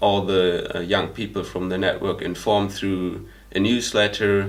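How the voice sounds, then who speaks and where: A man with a German accent speaks at a fairly low pitch, with audible room echo. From Germany. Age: 20s. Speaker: volunteer. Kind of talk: interview testimony. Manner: hesitant, many fillers.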